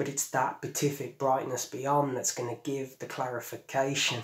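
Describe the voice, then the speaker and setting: A man talks with a monotone, flat intonation. Audible room echo surrounds his voice. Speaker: poet. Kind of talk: poem performed, spoken-word delivery. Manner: measured, lyrical, earnest. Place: home room.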